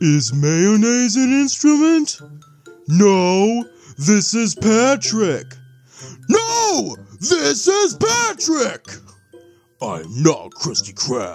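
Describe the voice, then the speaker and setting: A man's put-on character voice, high in pitch, at a very slow pace over faint background music. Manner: slow, dopey.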